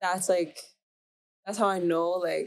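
A woman is speaking. She has a Canadian accent. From Canada, Mississauga, Ontario. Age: young, about 18. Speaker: singer-songwriter. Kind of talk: casual interview chat.

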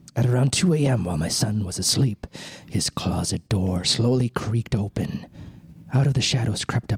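Here we hear a natural reading voice.

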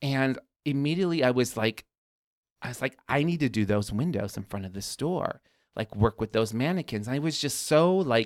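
A man with an American accent speaks in a normal speaking voice at medium pitch, fairly quickly and with lively intonation. The recording is very clean, with a silent background and a dry, close sound with no echo. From Chicago south suburbs. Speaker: garden designer, business owner. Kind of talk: casual interview.

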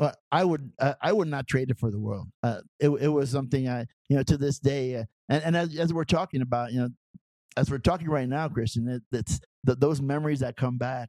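Speaking at a fairly quick pace with an American accent, a man uses a medium pitch and ordinary pitch variation, his tone dark and mellow, in a dry, close sound with no echo. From El Paso, Texas. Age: 70s. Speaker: high school football coach. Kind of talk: interview storytelling. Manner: halting, many repetitions and fillers.

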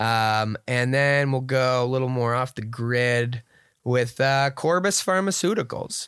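A man with an ordinary speaking voice at a medium pitch, with ordinary pitch variation, on a very clean recording with a silent background. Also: fairly slow pace. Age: 30s. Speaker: beer podcast co-host. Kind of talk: casual chat.

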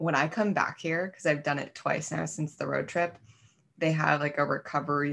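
Using an American accent, a woman talks at a moderate pace in a very deep, low pitch with ordinary pitch variation. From US Midwest (Wisconsin). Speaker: podcast co-host. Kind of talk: casual conversational podcast chat. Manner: casual, uses profanity, laughs often.

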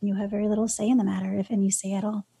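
Somewhat breathy and monotone, a woman with an American accent talks at a fairly quick pace and a medium pitch with flat intonation. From New York City, Brooklyn. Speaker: nonprofit founder and advocate. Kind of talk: interview.

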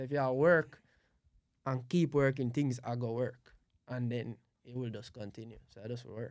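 A man's medium-pitched voice in a Jamaican accent at a moderate pace, with fairly even intonation, big swings in loudness and long, frequent pauses. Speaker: event planner and music producer. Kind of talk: casual chat.

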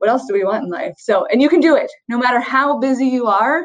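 An unremarkable speaking voice, fairly quick in pace, its pitch varying in an ordinary way. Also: woman. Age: 40s. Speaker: physician. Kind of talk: interview.

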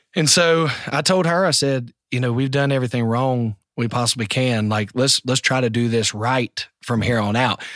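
At a moderate pace and very even loudness, the speaker uses ordinary pitch variation in a Southern US accent, captured as a very clean recording with a silent background and a dry, close sound with no echo. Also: man, medium pitch for a man. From US South, the Carolinas. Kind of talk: casual interview.

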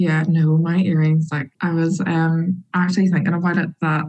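This woman has a fairly low pitch and a Northern Irish accent. Her pace is moderate. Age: 20s. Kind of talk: interview.

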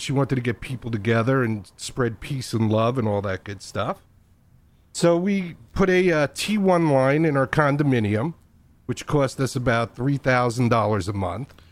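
A man talks at medium pitch and a moderate pace with lively intonation, in an unremarkable speaking voice. The recording is very clean, with a silent background. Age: 60s. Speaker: podcaster and internet radio pioneer. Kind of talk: casual interview chat.

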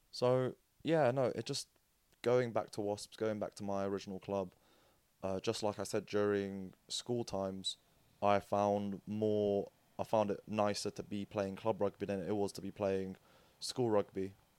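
A man with a British accent speaks fairly slowly, his pitch fairly low and his intonation fairly even. The recording is very clean with a silent background and a dry, close sound with no echo. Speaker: interview guest and co-host. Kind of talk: casual chat.

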